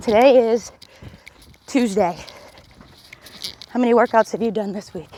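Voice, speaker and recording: The speech has an upbeat tone, ordinary pitch variation and big swings in loudness at a moderate pace. Long, frequent pauses break it up over noticeable background noise. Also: woman, fairly high pitch for a woman. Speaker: fitness instructor. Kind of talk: workout coaching while jogging. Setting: outdoors. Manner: encouraging, upbeat.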